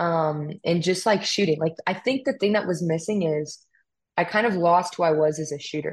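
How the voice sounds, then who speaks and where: In an American accent, a woman speaks at a moderate pace with a fairly low pitch and ordinary pitch variation. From US West Coast, California. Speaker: firearms instructor and model. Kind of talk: casual interview chat.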